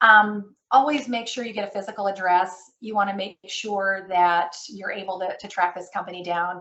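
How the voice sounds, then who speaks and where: Her loudness swings widely while a woman with an unremarkable speaking voice talks at a moderate pace. Her pitch is medium, with ordinary pitch variation. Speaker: credit management presenter. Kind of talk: webinar presentation. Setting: online webinar.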